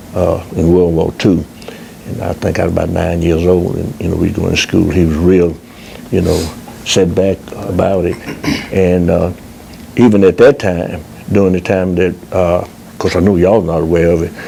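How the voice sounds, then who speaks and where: Very deep and low, a man's voice moves at a moderate pace with fairly even intonation and long, frequent pauses. Noticeable background noise sits behind him. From US South, Collierville, Tennessee. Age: 80s+. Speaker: oral history interviewee. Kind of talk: oral history interview. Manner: halting, frequent fillers.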